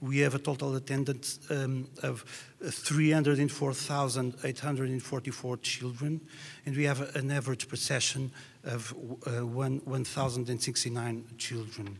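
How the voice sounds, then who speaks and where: A man speaks with a Portuguese accent. His voice is somewhat breathy, with monotone, flat intonation. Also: medium pitch for a man, moderate pace. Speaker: music educator. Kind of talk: presentation read from notes. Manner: halting.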